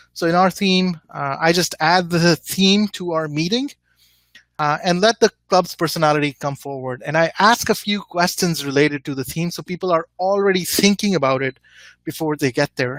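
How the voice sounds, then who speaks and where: Heard dry and close with no echo, a man with a high pitch speaks at a moderate pace with ordinary pitch variation. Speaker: club presenter. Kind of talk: webinar presentation. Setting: online webinar. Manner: hesitant, many fillers.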